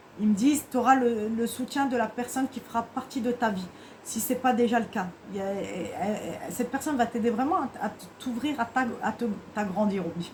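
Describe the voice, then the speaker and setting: Fairly quick, fairly high-pitched woman with ordinary pitch variation and noticeable background noise. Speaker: tarot card reader. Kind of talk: tarot reading guidance. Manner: fast; halting.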